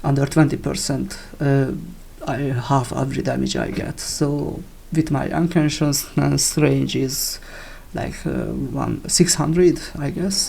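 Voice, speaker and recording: The speaker has a non-native accent. The pace is fairly slow. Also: man. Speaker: video game player. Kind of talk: game build tutorial talk. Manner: casual, hesitant.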